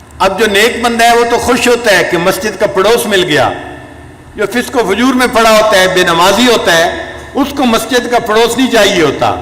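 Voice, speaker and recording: Noticeable background noise sits behind a man speaking at a high pitch with very even loudness. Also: ordinary pitch variation. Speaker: Islamic scholar and spiritual leader giving a sermon. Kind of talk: religious sermon (bayan) telling cautionary stories.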